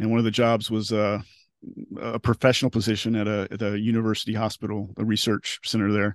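An American-accented man speaks with monotone, flat intonation and a fairly low pitch, in a dry, close sound with no echo against a quiet background. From US South, Tallahassee, Florida panhandle. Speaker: technology journalist. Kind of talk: interview testimony about depression. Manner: halting, frequent repetitions.

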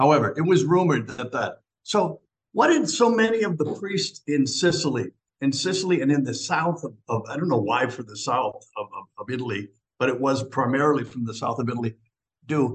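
This man's voice is somewhat breathy, with lively intonation. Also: fairly high pitch for a man, fairly quick pace. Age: 70s. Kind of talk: casual chat.

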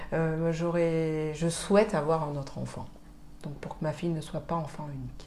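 A woman's voice sits very deep and low, flat and monotone, with big swings in loudness. The room echo is audible. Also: moderate pace. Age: 40s. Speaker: mother sharing late motherhood story. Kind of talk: testimony.

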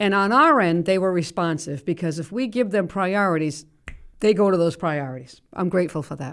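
A woman with a normal speaking voice, fairly low pitch and lively intonation is heard on a very clean recording with a silent background. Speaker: city mayor. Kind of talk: radio talk show conversation. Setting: radio studio.

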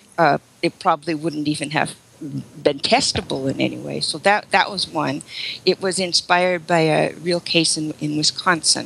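A woman talks at a moderate pace in a very deep, low pitch with vocal fry. Her intonation stays fairly even. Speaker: author. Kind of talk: interview, casual chat.

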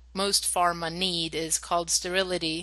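A woman speaks at a medium pitch in a bright, sharp tone. Behind her the background is quiet. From Sweden. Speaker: project coordinator, former scientist. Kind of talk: casual interview.

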